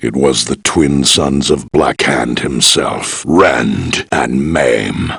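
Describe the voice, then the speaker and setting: Using a put-on character voice, a man talks very slowly in a very deep, low register. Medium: video game. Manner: measured, gravely authoritative.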